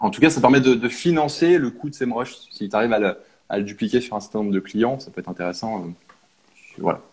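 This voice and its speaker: A man with a normal speaking voice talks at a fairly quick pace, using lively intonation and big swings in loudness. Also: medium pitch for a man. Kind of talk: casual chat. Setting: video call.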